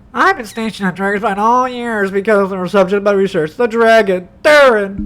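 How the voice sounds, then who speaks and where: The speaker uses a put-on character voice. The pitch varies in an ordinary way. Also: woman, medium pitch for a woman, fairly quick pace. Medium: virtual streamer. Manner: calm, measured.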